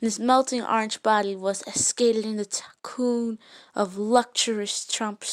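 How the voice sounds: A text is read out in a natural reading voice. That voice carries the whole clip.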